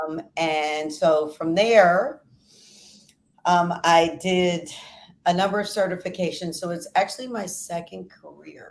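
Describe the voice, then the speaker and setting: A woman with a normal speaking voice, fairly low pitch, ordinary pitch variation and a fairly slow pace. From US Northeast (Philadelphia). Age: 60s. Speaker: fitness trainer. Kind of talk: interview.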